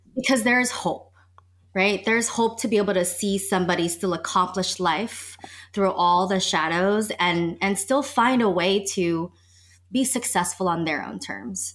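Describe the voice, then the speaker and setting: A woman at a medium pitch, a normal speaking voice, with ordinary pitch variation at a moderate pace, in a very clean recording with a silent background. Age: 30s. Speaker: sex and relationship coach. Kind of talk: casual chat.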